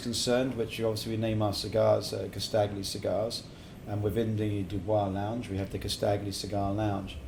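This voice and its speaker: A man with an English accent, audible room echo around his voice. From England, partly Middle East. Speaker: cigar company founder. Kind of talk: casual interview chat. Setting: cigar lounge.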